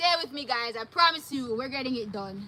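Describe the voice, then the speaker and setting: A woman raises and projects her voice in an animated tone with ordinary pitch variation. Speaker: vlogger. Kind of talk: live stream.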